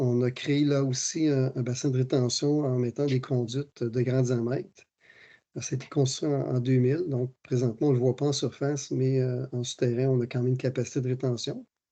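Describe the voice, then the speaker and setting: A man's medium-pitched voice with a dark, mellow tone, flat monotone intonation, and a moderate pace, over a quiet background. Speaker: municipal engineer presenting technical work. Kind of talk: technical presentation. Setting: virtual meeting. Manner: hesitant, many fillers.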